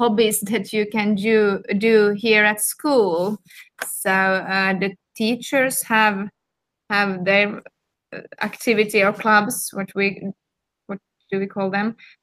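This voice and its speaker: With a Swedish accent, a woman speaks at a very slow pace in a fairly high, bright, sharp voice, keeping her intonation fairly even and taking long, frequent pauses. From Finland, Helsinki. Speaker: school principal. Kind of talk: casual interview. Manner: halting.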